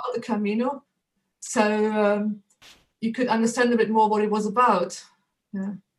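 A woman with a German accent at a moderate pace, monotone and flat, with long, frequent pauses. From Germany. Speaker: photographer and author. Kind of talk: interview.

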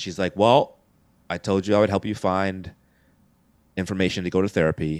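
A man with an American accent speaks at a fairly low pitch. The recording is very clean, with a silent background and a dry, close sound free of echo. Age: 40s. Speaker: comedian. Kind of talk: casual chat.

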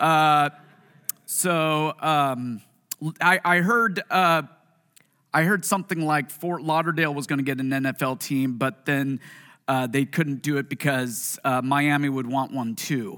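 On a very clean recording with a silent background, a man with a Pacific Northwest accent speaks fairly slowly in a bright, sharp tone, his pitch fairly high with ordinary variation. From US Pacific Northwest (Puyallup, Washington). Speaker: pastor. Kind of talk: sermon. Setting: church with congregation. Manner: animated.

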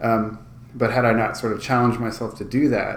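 The speech comes at a very fast pace in an American accent. Room echo can be heard. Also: man. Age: 30s. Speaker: musician and podcast host. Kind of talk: casual chat. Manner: energetic.

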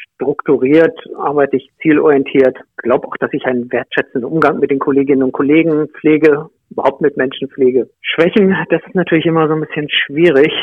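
In a normal speaking voice, a man talks at a fairly quick pace with a fairly high pitch and fairly even intonation. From Lower Saxony, Germany (Nienburg area). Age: 50s. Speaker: mayoral candidate, public administration official. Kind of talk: interview.

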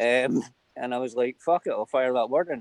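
The recording is dry and close, without echo. A man speaks at a moderate speed. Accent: Glaswegian. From Scotland, Glasgow. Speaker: livestream guest. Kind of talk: casual chat.

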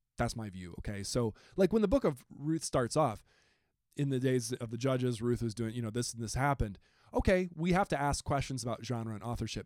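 With an American accent, a man in an unremarkable speaking voice talks at a fairly quick pace with medium pitch and lively intonation on a very clean recording with a silent background. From rural Wisconsin. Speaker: Bible professor. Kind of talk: recorded class discussion.

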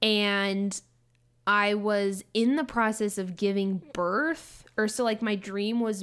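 Her normal speaking voice sits at a medium pitch for a woman, with fairly even intonation. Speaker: podcast co-host. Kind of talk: casual chat.

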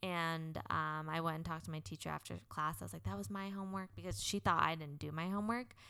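A woman with a very deep, low pitch and a bright, sharp tone talks at a very fast pace with very wide pitch swings and hardly any pauses. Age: 20s. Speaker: podcast co-host. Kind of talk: casual chat.

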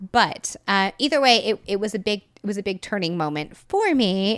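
Heard on a very clean recording with a silent background, a normal speaking voice with an American accent moves at a moderate pace. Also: woman. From Texas. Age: 30s. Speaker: tarot reader and writer. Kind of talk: casual interview chat.

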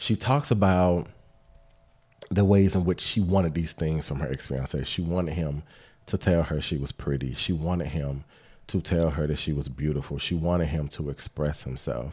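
A man's very deep, low voice with ordinary pitch variation. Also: moderate pace. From Atlanta area, Georgia. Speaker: podcast co-host. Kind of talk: casual chat.

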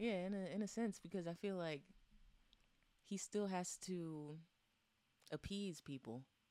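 Soft-spoken and fairly slow, a woman talks at medium pitch with ordinary pitch variation, a dark, mellow tone, and long, frequent pauses. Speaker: podcast co-host. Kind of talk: casual chat.

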